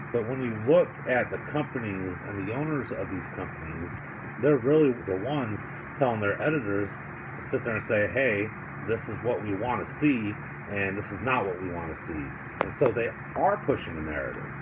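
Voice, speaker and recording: With audible room echo and noticeable background noise, a man talks at a moderate pace in a medium pitch. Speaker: political commentary vlogger. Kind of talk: casual commentary monologue. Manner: stuttering, halting with fillers.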